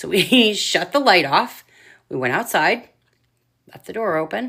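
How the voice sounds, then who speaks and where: A woman speaks loudly at a fairly slow pace, her medium pitch swinging very widely. Her bright, sharp tone carries vocal fry, on a very clean recording with a silent background. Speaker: paranormal investigator. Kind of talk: casual chat.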